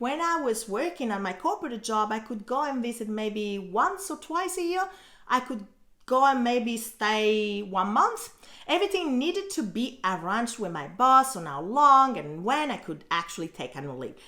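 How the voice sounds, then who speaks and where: A woman with an Italian accent has a bright, sharp tone and a fairly high pitch. Her pitch swings very widely. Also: moderate pace, big swings in loudness. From Italy. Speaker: blogger and online teacher. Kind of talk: vlog about her own story. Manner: casual, conversational.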